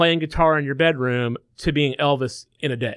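Lively intonation marks this man's fairly high voice. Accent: Southern US. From Macon, Georgia. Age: 30s. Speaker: musician and studio owner. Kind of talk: interview. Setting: studio.

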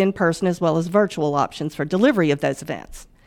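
A woman speaks at a fairly quick pace with a Southern US accent. The recording is very clean, with a silent background. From US South, northwest Mississippi. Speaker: bank financial wellness manager. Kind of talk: business podcast interview. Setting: studio.

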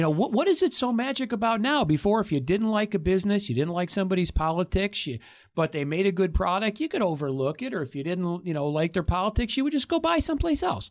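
Against a quiet background, a man with high pitch speaks at a very fast pace with hardly any pauses and very wide pitch swings. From Michigan, Detroit area. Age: 50s. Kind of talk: casual panel discussion. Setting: studio.

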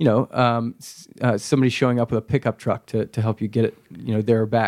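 On a very clean recording with a silent background, a plain, everyday voice speaks at a fairly quick pace with fairly even intonation and a dry, close sound with no echo. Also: man. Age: 20s. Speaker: startup founder. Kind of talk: interview. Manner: frequent filler words.

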